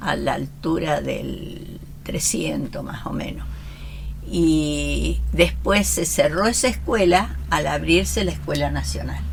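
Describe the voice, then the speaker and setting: Audible room echo and noticeable background noise surround this recording. The female speaker goes at a very slow pace. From Argentina, Roldán (Santa Fe). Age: 70s. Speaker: local history group member. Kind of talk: casual chat.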